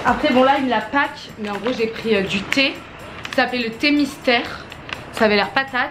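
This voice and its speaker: Against music in the background and audible room echo, a woman with a fairly high pitch speaks with long, frequent pauses. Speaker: vlogger. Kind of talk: casual vlog to camera. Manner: fast; animated.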